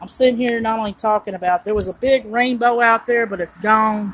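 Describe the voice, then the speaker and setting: A woman talking at a fairly quick pace against noticeable background noise. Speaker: vlogger. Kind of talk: casual livestream chat. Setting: outdoors on a porch. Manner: rambling, conversational; kept low.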